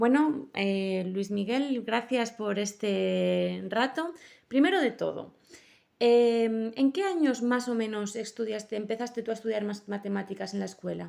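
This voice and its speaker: A woman talks at a fairly slow pace. Her pitch is fairly high and varies in an ordinary way. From Basque Country, Bilbao. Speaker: master's student interviewer. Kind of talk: student interview. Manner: halting.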